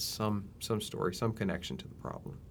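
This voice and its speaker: With a Mississippi accent, a man with a fairly low pitch talks with ordinary pitch variation. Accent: Mississippi Southern. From Mississippi, US South. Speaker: university health extension specialist. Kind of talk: interview conversation. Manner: halting, many repetitions.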